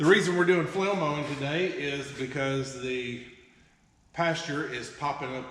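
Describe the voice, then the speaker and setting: In a Southern US accent, a man speaks at a fairly high pitch, with audible room echo and noticeable background noise. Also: ordinary pitch variation. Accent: US South. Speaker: farm video creator. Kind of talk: casual vlog narration.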